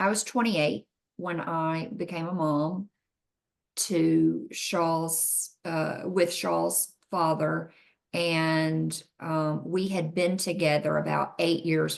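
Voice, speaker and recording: With a Southern US accent, a woman talks at a very slow pace and a fairly low pitch. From US South. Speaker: mother interviewed about raising a son. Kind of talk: interview.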